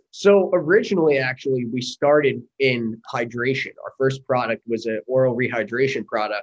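In an unremarkable speaking voice, a man with an American accent talks at medium pitch and a moderate pace. The sound is dry and close with no echo. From US Northeast, Long Island, New York. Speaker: army veteran and company founder. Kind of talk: interview.

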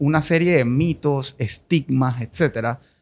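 This man talks at a very slow pace. His pitch moves in an ordinary way. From Colombia. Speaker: podcast host. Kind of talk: interview.

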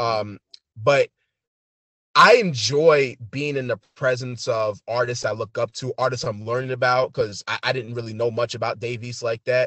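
Delivered in a New York accent, the speech keeps a moderate pace and fairly even intonation. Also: man, medium pitch for a man. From New York City. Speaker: photographer and hip hop artist. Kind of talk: casual interview.

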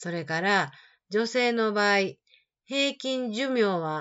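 In a Kansai accent, a woman speaks very slowly in a fairly high, warm voice with very wide pitch swings. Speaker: Japanese teacher podcaster. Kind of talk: reading a personal letter aloud. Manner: warm, conversational.

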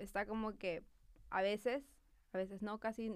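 In a very clean recording with a silent background, a woman with a plain, everyday voice talks at a moderate pace and medium pitch. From Peru. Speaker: marketing professional. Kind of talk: casual chat. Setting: studio.

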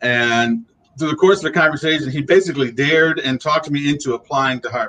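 A man with an American accent talks at a very fast pace in a fairly high, bright, sharp tone. His pitch varies in an ordinary way. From Ohio, US Midwest. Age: 50s. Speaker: arts diversity officer. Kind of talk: interview.

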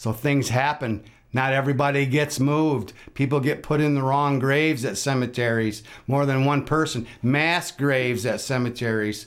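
At a moderate pace and medium pitch, a man with an American accent speaks with fairly even intonation in an unremarkable speaking voice. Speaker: podcast host. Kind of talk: interview, podcast host.

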